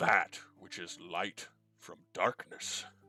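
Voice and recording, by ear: A man puts on a gruff, raspy character voice over music playing in the background.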